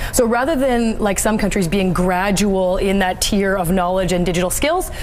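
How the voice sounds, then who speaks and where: A woman's medium-pitched voice at a moderate pace, with ordinary pitch variation and very even loudness over noticeable background noise. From Canada. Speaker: host and moderator. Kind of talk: interview answer.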